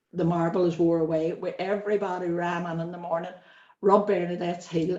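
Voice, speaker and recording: A woman with a Northern Irish accent talks fairly quickly in a fairly low, flat, monotone voice. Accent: Derry Northern Irish. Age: 60s. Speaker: interviewee. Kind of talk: interview, personal life story. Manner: conversational, with hesitations.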